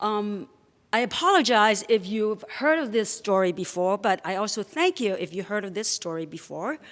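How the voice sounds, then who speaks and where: A woman's medium-pitched voice at a fairly slow pace with ordinary pitch variation, in a very clean recording with a silent background. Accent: non-native. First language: not English. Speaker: storyteller. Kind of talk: live storytelling. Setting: stage with audience.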